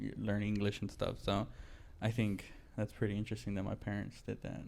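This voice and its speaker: A man's fairly low-pitched voice with vocal fry, at a fairly quick pace. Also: fairly even intonation. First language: Spanish. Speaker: podcast host. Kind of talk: casual chat. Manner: casual, halting with many fillers.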